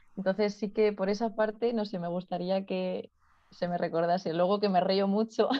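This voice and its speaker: A woman with a medium pitch speaks at a moderate pace with fairly even intonation over a quiet background. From Spain, Ciudad Real; Spain. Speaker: physiotherapist. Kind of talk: interview conversation. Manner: laughs often. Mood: relaxed, friendly, smiling. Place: home room. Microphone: video call.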